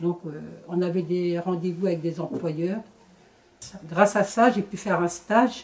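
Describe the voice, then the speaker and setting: Woman at a fairly low pitch, speaking fairly slowly with fairly even intonation. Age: 50s. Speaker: former job-seeker, centre volunteer. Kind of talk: testimony.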